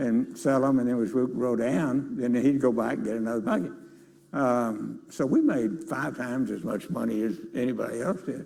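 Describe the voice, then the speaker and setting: A man with a Texan accent speaks in a dark, mellow tone, with audible room echo. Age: 80s+. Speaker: business leader. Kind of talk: interview on stage. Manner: halting.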